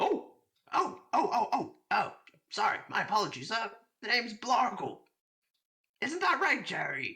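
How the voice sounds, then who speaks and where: In a high-pitched, put-on character voice, the speaker makes very wide pitch swings at a moderate pace, with long, frequent pauses. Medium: actual play. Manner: stammering, scatterbrained.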